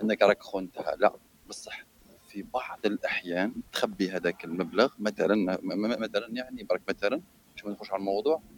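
Moderate pace from a man, with big swings in loudness and a dry, close sound with no echo. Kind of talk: casual chat.

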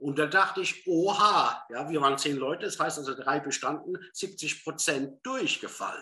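This is an unremarkable speaking voice that keeps a moderate tempo, shows usual rises and falls in pitch, and barely stops for pauses. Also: man, fairly high pitch for a man. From southern Hesse, Germany. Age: 50s. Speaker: former business executive training as psychotherapy practitioner. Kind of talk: interview.

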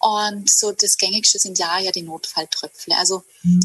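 A woman with a normal speaking voice and fairly even intonation. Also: dry, close sound with no echo. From southern Germany, Hegau (Lake Constance area). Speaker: herbalist and women's circle leader. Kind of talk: casual interview.

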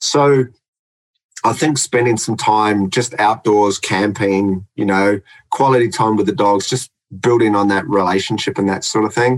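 A man with a New Zealand accent, fairly low in pitch, at a moderate pace, with ordinary pitch variation and very even loudness. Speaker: dog trainer. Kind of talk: casual chat.

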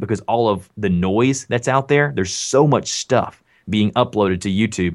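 A man's fairly low voice in a very clean recording with a silent background. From US South. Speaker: online content creator and voice actor. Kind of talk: casual interview chat.

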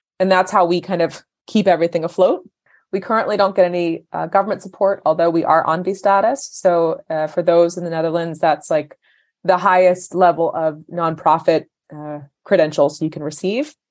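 An unremarkable speaking voice with an American accent moves at a fairly quick pace with fairly even intonation over a quiet background. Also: woman, fairly low pitch for a woman. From US. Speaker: nonprofit founder. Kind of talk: interview conversation.

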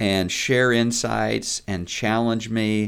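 A man with an American accent speaks at a medium pitch. His pace is very slow and his intonation fairly even. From US Midwest, southwest Missouri Ozarks. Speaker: preaching minister. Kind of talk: casual chat.

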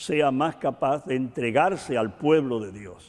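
A man speaks at medium pitch and a very slow pace. His pitch variation is ordinary. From rural Cuba. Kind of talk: interview.

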